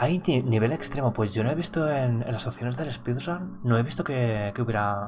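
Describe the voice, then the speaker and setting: Soft-spoken delivery with lively intonation, hardly any pauses, and noticeable background noise. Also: man, medium pitch for a man, moderate pace. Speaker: gaming streamer. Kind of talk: gameplay commentary.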